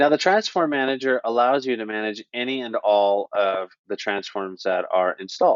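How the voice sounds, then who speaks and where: Here a man with an unremarkable speaking voice talks at a medium pitch and moderate pace, with lively intonation and hardly any pauses. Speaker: software trainer. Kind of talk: tutorial. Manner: casual.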